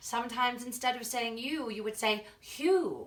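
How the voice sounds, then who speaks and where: A female-sounding, put-on character voice speaks high and breathy in an Irish accent. Her pace is moderate. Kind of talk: accent tutorial for students. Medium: tutorial demo.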